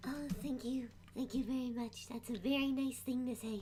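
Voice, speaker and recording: Over clear background noise, a female-sounding voice does a put-on character voice, high-pitched for a woman, at a moderate pace. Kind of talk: sweet, gentle. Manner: soft, shy, polite.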